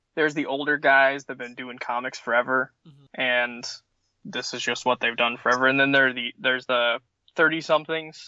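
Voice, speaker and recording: A man speaks at a fairly quick pace in a normal speaking voice. His pitch is medium and his intonation fairly even. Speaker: casual comic fan. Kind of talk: casual interview chat.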